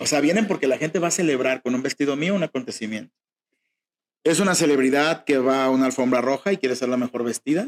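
In a dry, close sound with no echo, a man with medium pitch and a plain, everyday voice talks at a fairly quick pace with ordinary pitch variation. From Mexico, Jalisco (rural town near Guadalajara). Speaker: fashion designer. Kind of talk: interview.

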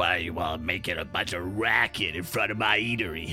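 Gruff and raspy, a put-on character voice moves at a fairly quick pace over clear background music. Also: man, very deep, low pitch for a man. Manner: irritated, confrontational.

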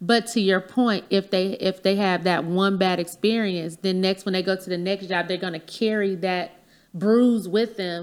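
At a moderate pace, a woman with a medium pitch speaks with fairly even intonation. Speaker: podcaster and educator. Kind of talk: casual chat, podcast interview.

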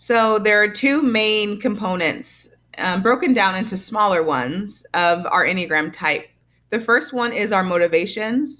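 Over a very clean recording with a silent background, a woman talks at a fairly slow pace in a medium pitch, her tone bright and sharp and her intonation lively. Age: 30s. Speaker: Enneagram coach and fitness instructor. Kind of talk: interview.

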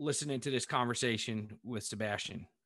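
A man's bright, sharp tone comes across on a very clean recording against a silent background. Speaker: geotechnical engineer. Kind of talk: podcast interview.

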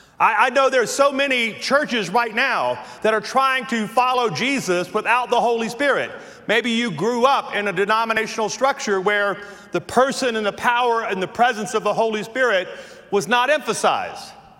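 Amid noticeable background noise, a man with a slight Southern US accent speaks in a raised, projected voice at an extremely high pitch and moderate pace, with ordinary pitch variation. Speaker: pastor. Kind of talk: sermon. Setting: church.

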